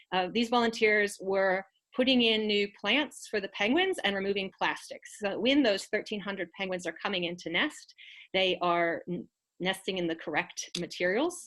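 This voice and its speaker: A woman talks in an ordinary speaking voice at a medium pitch and a moderate pace. Her pitch variation is ordinary. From United States. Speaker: executive officer of an environmental non-profit. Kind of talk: presentation.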